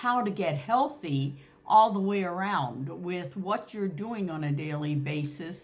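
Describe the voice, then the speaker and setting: Fairly slow, somewhat breathy speech with very wide pitch swings. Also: woman. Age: 70s. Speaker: naturopathic doctor and reflexologist. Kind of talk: health tips talk to camera. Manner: hesitant, frequent fillers.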